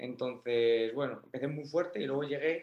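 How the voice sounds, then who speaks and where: This man has a normal speaking voice, fairly high in pitch, with ordinary pitch variation and a fairly slow pace. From Spain, Toledo. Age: 20s. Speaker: powerlifter. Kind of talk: casual chat.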